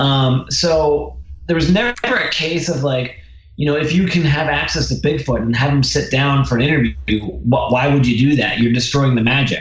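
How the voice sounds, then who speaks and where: Speaking with an American accent, a man talks at a fairly high pitch and moderate pace with ordinary pitch variation and very even loudness. Audible room echo and noticeable background noise are present. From southern New Jersey, Philadelphia area. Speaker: documentary filmmaker. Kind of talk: casual interview chat.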